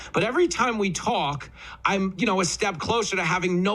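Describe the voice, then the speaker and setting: A man in an American accent speaks at a fairly quick pace, with noticeable background noise behind him. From New York. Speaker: radio host. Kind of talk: radio interview.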